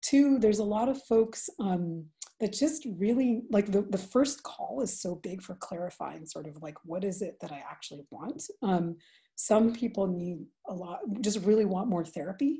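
A woman talks with lively intonation and big swings in loudness. Her somewhat breathy voice has a dark, mellow tone over a quiet background. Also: moderate pace. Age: 40s. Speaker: restorative justice practitioner; webinar presenter. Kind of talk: webinar presentation. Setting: video call. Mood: calm, thoughtful. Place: home room. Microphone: video call.

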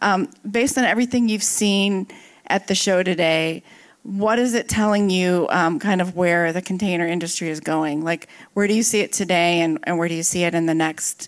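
A woman speaks at a moderate pace with ordinary pitch variation. Her loudness stays very even over a quiet background. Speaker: panel moderator at a tech conference. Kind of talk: moderated panel Q&A. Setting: stage with live audience. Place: hall. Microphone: handheld.

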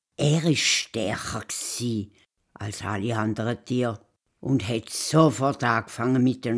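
The background stays quiet. Pitch varies in an ordinary way through this plain reading aloud.

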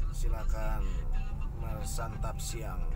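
A man speaks at a very slow pace. Loud background noise runs beneath him. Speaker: driver vlogger. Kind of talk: casual vlog chat. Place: car. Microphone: camera far.

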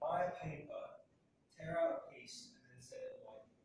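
A man at a fairly slow pace, light background noise and strong echo off the room. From British. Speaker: theatre workshop facilitator, actor and voice artist. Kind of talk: workshop instruction to a group. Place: classroom. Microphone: camera far.

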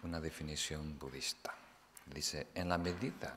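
At a very slow pace, a man speaks with a very deep, low pitch, a bright, sharp tone and vocal fry, over light background noise. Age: 40s. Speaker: Buddhist meditation teacher. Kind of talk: dharma talk. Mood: calm, explanatory. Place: hall. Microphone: podium.

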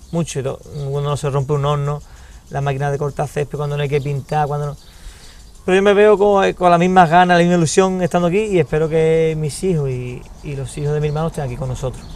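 Rushing at a very fast pace, a man with a fairly high pitch and ordinary pitch variation speaks in a dry sound with no echo. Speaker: restaurant owner. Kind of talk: interview. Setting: at a restaurant. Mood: warm, reflective. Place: garden. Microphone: lapel.

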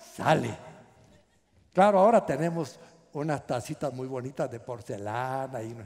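A man with a Guatemalan accent talks fairly slowly, with long, frequent pauses. His loudness swings widely over a quiet background. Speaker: pastor. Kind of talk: sermon. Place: hall. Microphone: headset.

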